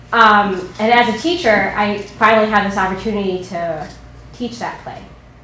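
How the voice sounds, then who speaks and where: A woman's medium-pitched voice with ordinary pitch variation and music in the background. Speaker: actress and teacher.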